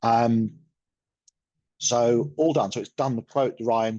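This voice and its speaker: With an English accent, a man speaks at a medium pitch with ordinary pitch variation against a quiet background. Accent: English accent (Pommy). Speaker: software product presenter. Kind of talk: webinar product demo. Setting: online webinar. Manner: casual, hesitant with fillers.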